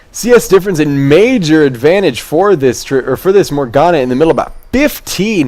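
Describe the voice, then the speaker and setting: Lively intonation carries the speech over music in the background. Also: man. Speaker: esports caster. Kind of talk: live commentary. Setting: home webcam stream. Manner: stuttering; fast.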